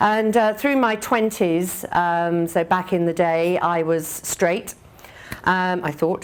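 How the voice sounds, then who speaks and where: Over noticeable background noise, someone speaks in an English accent with ordinary pitch variation. The pace is very slow. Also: woman, fairly low pitch for a woman. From England. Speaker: business executive. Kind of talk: conference speech. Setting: speaking at an event in Dublin.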